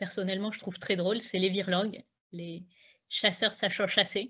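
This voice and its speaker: A woman is speaking. Her pace is moderate. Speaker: author and public speaking coach. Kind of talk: online talk on public speaking. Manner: hesitant, many fillers.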